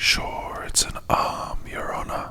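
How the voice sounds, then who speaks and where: A woman whispers in a put-on character voice. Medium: read story.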